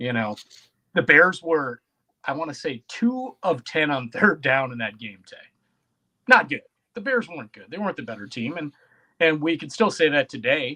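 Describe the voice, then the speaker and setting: A man with a Wisconsin accent speaks in a bright, sharp tone at fairly high pitch and a moderate pace, with very wide pitch swings and big swings in loudness. Long, frequent pauses break up his speech, and the sound is dry and close, with no echo. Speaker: sports podcast co-host. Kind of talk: casual chat. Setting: live-streamed podcast.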